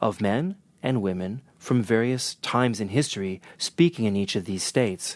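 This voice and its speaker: Over a quiet background, a man with a Northern US accent speaks at a fairly low pitch. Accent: American Northern. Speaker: interpreter trainer. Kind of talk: talk. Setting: guest talk at an institution. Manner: conversational.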